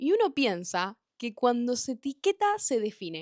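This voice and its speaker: An animated woman with a Rioplatense accent, in a dry, close sound with no echo and a very clean recording with a silent background. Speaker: podcast host. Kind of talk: monologue podcast. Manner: fast.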